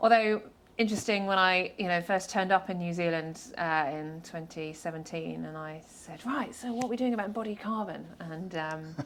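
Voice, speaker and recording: A woman's fairly low voice with a British accent, moderate pace, ordinary pitch variation, big swings in loudness and hardly any pauses. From UK. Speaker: structural engineer, government advisor. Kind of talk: podcast interview.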